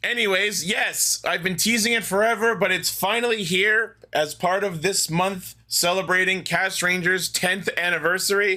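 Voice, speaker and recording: A man speaks in a high, raised, projecting voice with a bright, sharp tone, at a moderate pace with hardly any pauses. His loudness stays very even and his intonation fairly even. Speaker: podcast host. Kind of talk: casual chat.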